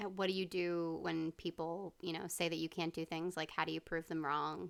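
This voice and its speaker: Speaking with an American accent, a woman talks at a moderate pace in a fairly low, monotone, flat voice. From US East Coast. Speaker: podcast co-host. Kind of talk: casual chat.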